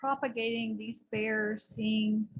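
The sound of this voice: A soft-spoken woman talks slowly at a fairly high pitch with a slightly husky edge.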